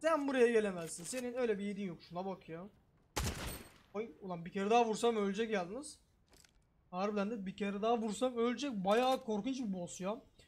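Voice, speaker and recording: A man's high, animated voice at a fairly quick pace, with big swings in loudness. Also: ordinary pitch variation. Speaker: gaming streamer. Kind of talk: gameplay commentary. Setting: small room.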